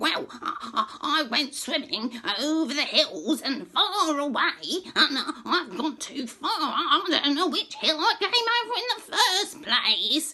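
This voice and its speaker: A high-pitched put-on character voice at a fairly slow pace, with clear background noise. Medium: read story. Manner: chattering, stammering.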